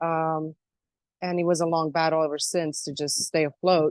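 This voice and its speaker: A woman with a very deep, low pitch and a slight Croatian accent, at a moderate pace with monotone, flat intonation. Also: dry, close sound with no echo, quiet background. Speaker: self-described alien abductee. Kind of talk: interview.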